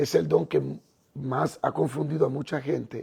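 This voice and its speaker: A man speaks at a very slow pace. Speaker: pastor. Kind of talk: livestream sermon. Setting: live stream at night.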